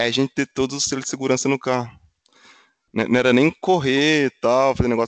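A man speaks at a very fast pace and medium pitch. The sound is dry and close with no echo, over a quiet background. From Minas Gerais, Brazil (Funilândia). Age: 30s. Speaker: automotive engineer. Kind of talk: casual interview chat.

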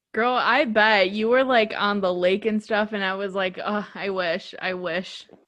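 Speaking in an American accent, a woman at medium pitch keeps a fairly slow pace with fairly even intonation and hardly any pauses. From Chicago. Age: 20s. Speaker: podcast host. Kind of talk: scripted outro; casual chat.

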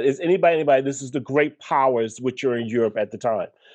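A man with a Brooklyn accent talks with ordinary pitch variation over a quiet background. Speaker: podcast guest, history educator. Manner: conversational, digressive.

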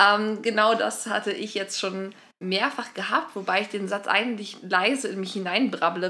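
The speaker has an ordinary speaking voice, fairly even intonation and a moderate pace. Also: woman. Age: 20s. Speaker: podcast co-host. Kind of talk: casual chat.

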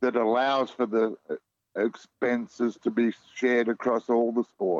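In an Australian accent, a man speaks at a fairly slow pace, the sound dry and close with no echo. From Australia, Melbourne. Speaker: community sport organiser and podcaster. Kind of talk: radio interview.

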